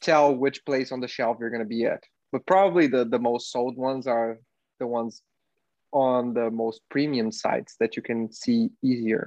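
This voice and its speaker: A man's medium-pitched voice at a moderate pace, fairly even in intonation, with a dry, close sound and no echo. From Brazil. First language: Portuguese. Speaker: podcast co-host. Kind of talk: casual chat.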